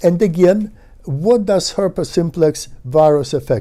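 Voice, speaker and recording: With a dark, mellow tone and lively intonation, a man talks in a fairly high pitch. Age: 70s. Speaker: neuroscientist. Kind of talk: lecture. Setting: webinar. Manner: halting, many fillers.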